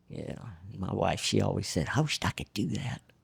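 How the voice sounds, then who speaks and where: At a moderate pace, a man speaks with vocal fry. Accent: Southern US. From Arkansas. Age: 70s. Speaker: jockey. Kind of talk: casual chat. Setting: racetrack.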